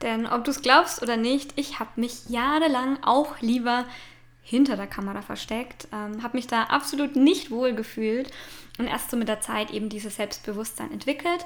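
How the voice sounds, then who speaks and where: Moderate pace with ordinary pitch variation. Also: woman, high pitch for a woman. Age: 20s. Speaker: podcast host and branding photographer. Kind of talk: casual monologue. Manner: hesitant fillers.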